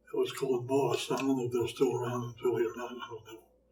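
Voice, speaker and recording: Over noticeable background noise, a man speaks at a fairly quick pace in a monotone, flat delivery. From Philadelphia, US. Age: 80s+. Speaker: retired hospital housekeeper. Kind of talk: interview about his life. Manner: halting.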